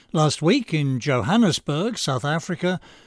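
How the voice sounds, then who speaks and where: A man with an English accent, a high pitch and lively intonation over a quiet background. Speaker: radio commentary host. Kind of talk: scripted monologue commentary. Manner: sardonic, dry.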